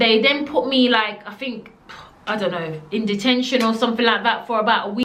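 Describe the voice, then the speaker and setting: Animated and fairly quick, a woman speaks at a fairly high pitch. Noticeable background noise can be heard. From Jamaica. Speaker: storytelling vlogger. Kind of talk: storytime monologue.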